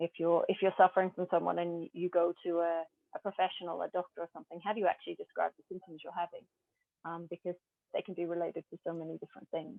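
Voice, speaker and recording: A woman's fairly low voice at a very fast pace, monotone and flat, with big swings in loudness. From Australia and Papua New Guinea. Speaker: glass artist. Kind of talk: interview answer.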